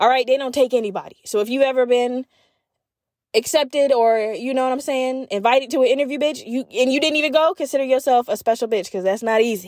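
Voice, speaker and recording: A woman talks at a very fast pace in a high, animated voice with ordinary pitch variation. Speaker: podcast host. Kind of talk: casual rant. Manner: animated, profane; fast, heated rant.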